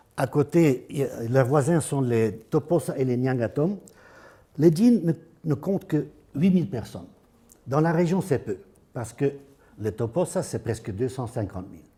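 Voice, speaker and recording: Somewhat breathy, with a dark and mellow tone and a fairly high pitch, a man talks at a fairly slow pace with long, frequent pauses. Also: big swings in loudness. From Flanders, northern Belgium. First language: Dutch (speaking French). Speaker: anthropologist. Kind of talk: lecture. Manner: halting, with hesitations and restarts.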